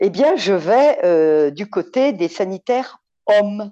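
A woman speaks with a dark, mellow tone. Her pitch swings very widely. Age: 60s. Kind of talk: testimony.

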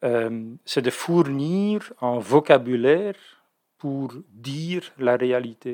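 The recording is very clean against a silent background. A man with a medium-pitched, dark, mellow voice speaks very slowly with ordinary pitch variation. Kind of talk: interview, explanatory talk. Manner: hesitant, many fillers and repetitions.

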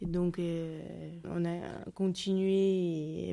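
In a very clean recording with a silent background, a woman's fairly low voice has a dark, mellow tone and monotone, flat intonation. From Tajikistan, later Moscow. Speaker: exile learning French. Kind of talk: interview testimony. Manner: halting.

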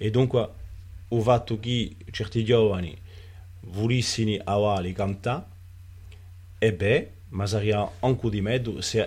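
A man's fairly low, fairly slow speech with fairly even intonation and long, frequent pauses. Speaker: writer and cultural figure. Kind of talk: interview. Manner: halting, with many repetitions.

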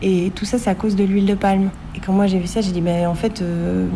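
Over noticeable background noise, a woman at a medium pitch speaks at a fairly quick pace. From grew up abroad (Middle East, US, Singapore). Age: 20s. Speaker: zero-waste blogger and coach. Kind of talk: interview.

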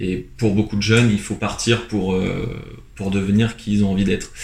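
A man speaks at a fairly quick pace in a fairly low, somewhat breathy voice with monotone, flat intonation. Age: 20s. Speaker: photographer. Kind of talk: interview. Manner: hesitant, many fillers.

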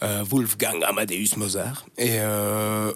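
A man talks over noticeable background noise. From Brussels, Belgium (Schaerbeek). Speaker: radio presenter. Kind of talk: casual interview. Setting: radio studio. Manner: hesitant, many fillers.

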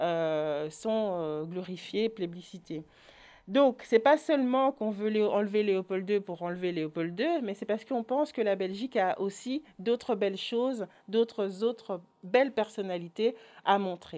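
Using lively intonation and a medium pitch, a woman talks at a fairly slow pace. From Belgium, Orval area. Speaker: association president and educator. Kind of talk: online talk. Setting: online video conference.

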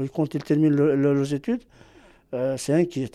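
A man with a fairly high pitch and a dark, mellow tone. He talks at a fairly slow pace. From Algeria. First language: Arabic (speaking French). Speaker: immigrant parent. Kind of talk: testimony. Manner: halting.

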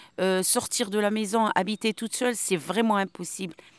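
A woman speaks at a medium pitch. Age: 50s. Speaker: undocumented migrant, former pharmacist. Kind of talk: interview on a protest march. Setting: outdoors, walking on a road.

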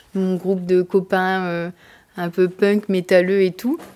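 On a very clean recording with a silent background, a woman speaks at a very slow pace in a medium-pitched, dark, mellow tone with monotone, flat intonation. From northern France, Picardy (Abbeville). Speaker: activist. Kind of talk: interview testimony.

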